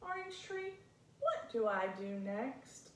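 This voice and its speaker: A woman does a put-on character voice at a high pitch and fairly slow pace, with very wide pitch swings and a slight echo. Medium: read story.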